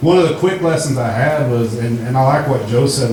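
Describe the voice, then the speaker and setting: In a room with audible echo and noticeable background noise, a man talks at a moderate pace. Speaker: recovery program graduate. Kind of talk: testimony.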